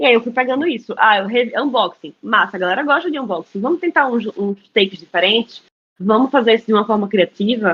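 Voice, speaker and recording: Someone speaks at a fairly quick pace with a Pernambuco accent. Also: woman, fairly high pitch for a woman, lively intonation. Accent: Pernambuco (northeastern Brazilian). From Brazil, Pernambuco (Recife). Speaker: journalist and content creator. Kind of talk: interview talk.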